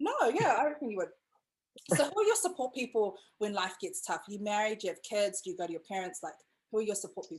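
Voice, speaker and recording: A woman speaks very fast with a New Zealand accent. Her fairly high voice has lively intonation. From New Zealand, Pacific islander. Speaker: podcast host and brand agency owner. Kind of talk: casual chat interview. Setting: video call. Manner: animated, chatty, excitable.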